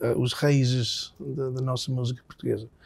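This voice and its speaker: Speaking fairly slowly with an English accent, a man has a dark, mellow tone, medium pitch, fairly even intonation and a somewhat breathy sound. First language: English (speaking Portuguese). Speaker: singer-songwriter. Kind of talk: interview. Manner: halting.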